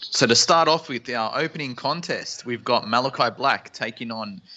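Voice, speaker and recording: Using lively intonation, a man with an Australian accent and medium pitch talks at a fairly slow pace. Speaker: guest co-host of wrestling live reaction stream. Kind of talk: live watch-along commentary. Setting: live stream.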